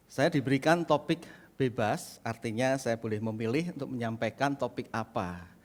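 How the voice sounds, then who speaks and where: At a moderate pace and medium pitch, a man with a Central Javanese accent speaks with ordinary pitch variation. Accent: Central Javanese accent, unchanged. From Indonesia, Central Java. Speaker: pastor. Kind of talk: sermon. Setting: church.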